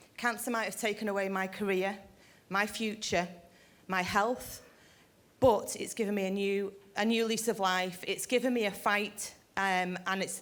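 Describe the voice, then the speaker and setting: In a British accent, a woman talks at a moderate pace with a medium pitch and monotone, flat intonation. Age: 40s. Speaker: retired neonatal nursing sister, cancer patient. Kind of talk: personal speech to an audience.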